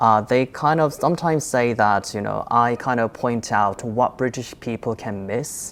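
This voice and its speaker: Very deep, low-pitched woman's voice at a moderate pace, with ordinary pitch variation. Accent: Korean. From South Korea. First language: Korean. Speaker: content creator. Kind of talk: panel discussion.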